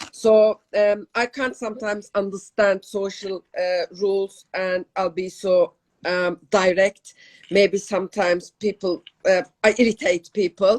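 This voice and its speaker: In a Turkish accent, a woman speaks fairly slowly at medium pitch with fairly even intonation, and the sound is dry and close, with no echo. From Turkey. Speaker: podcast co-host. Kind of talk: casual chat. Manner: halting.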